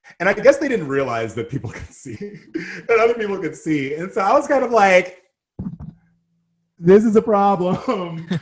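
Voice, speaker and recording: With an American accent, a somewhat breathy man speaks at a moderate pace, his pitch swinging very widely. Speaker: model and activist. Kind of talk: casual chat. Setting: podcast interview.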